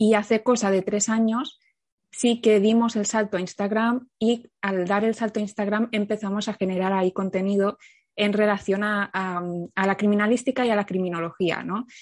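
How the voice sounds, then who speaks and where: A woman's medium-pitched voice, monotone and flat in intonation, at a moderate pace against a quiet background. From Catalonia, Spain. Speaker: criminologist and content creator. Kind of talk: casual interview.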